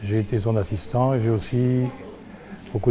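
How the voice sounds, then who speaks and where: With noticeable background noise behind him, a man speaks at a moderate pace and medium pitch in a monotone, flat intonation. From Northern Europe, lived in Paris. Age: 70s. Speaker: sculptor. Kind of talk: interview self-introduction.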